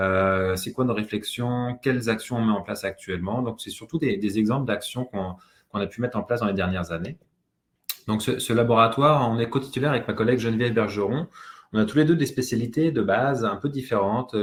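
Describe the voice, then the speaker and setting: Here a man talks at a medium pitch and fairly quick pace, with ordinary pitch variation. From France. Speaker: university professor and researcher. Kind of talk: webinar presentation. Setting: video call webinar. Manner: hesitant, many filler sounds.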